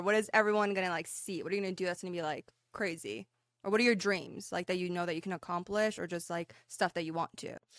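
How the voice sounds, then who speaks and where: A woman speaks very fast with an American accent. Her intonation is fairly even, and the sound is dry and close with no echo. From Iran. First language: Persian. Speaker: PR director and interviewer. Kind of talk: casual interview.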